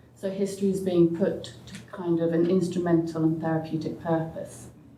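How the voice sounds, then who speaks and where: Audible room echo surrounds a woman speaking at a fairly low pitch with fairly even intonation. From England (Oxford). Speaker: sociologist and author. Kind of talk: panel discussion.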